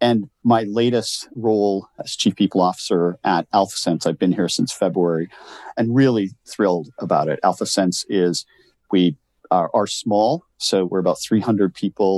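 With a Canadian accent, this man speaks at a moderate pace in a fairly low pitch, an unremarkable speaking voice. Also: ordinary pitch variation, dry, close sound with no echo. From rural Canada. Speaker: HR executive. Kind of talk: interview.

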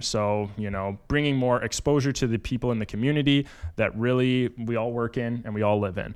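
A man with a normal speaking voice talks at a moderate pace and medium pitch, with fairly even intonation, on a very clean recording with a silent background. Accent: Canadian. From eastern Ontario, Canada, small town near Ottawa. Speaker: podcast co-host, mortgage broker. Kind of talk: casual chat.

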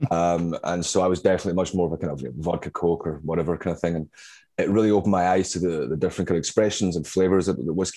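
Very fast speech in a Glaswegian accent, dark and mellow in tone, with ordinary pitch variation and a quiet background. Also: man. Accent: Glaswegian Scottish. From Glasgow, Scotland. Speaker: whiskey bar manager. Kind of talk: casual interview. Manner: hesitant, many fillers.

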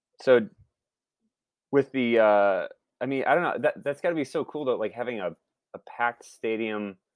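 A man with a Midwestern American accent speaks at medium pitch and a moderate pace, with ordinary pitch variation and long, frequent pauses. The sound is dry and close with no echo, in a very clean recording with a silent background. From Northwest Ohio (Toledo). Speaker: TV writer and musician. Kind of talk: casual chat.

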